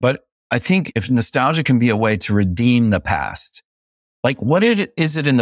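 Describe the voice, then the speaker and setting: A man speaks at medium pitch and a moderate pace, with lively intonation. The recording is very clean, dry and close, with no echo and a silent background. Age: 50s. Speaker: screenwriter and film director. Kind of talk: casual interview conversation. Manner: animated, with frequent restarts.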